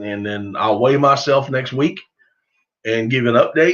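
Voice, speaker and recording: A man with a Southern US accent speaks at a moderate pace, his medium pitch showing ordinary variation. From US South. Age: 50s. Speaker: duck hunting youtuber. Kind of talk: live stream chat. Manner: casual, halting.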